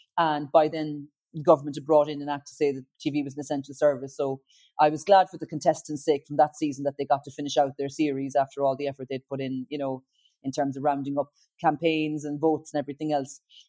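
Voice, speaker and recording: A woman with a Kerry accent talks very fast in a very deep, low voice with a dark, mellow tone and flat, monotone intonation. Her loudness swings widely, and the sound is dry and close with no echo. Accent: Kerry Irish. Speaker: singer-songwriter and TV talent show judge. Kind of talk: interview.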